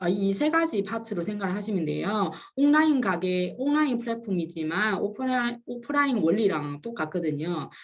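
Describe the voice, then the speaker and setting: With a Chinese accent, a woman speaks at a moderate pace and medium pitch, making very wide pitch swings with hardly any pauses, and audible room echo can be heard. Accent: Chinese accent in Korean, self-noted. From China. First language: Chinese (speaking Korean). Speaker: business consultant giving a webinar lecture. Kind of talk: lecture. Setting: live online webinar with chat. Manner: halting, many fillers and restarts.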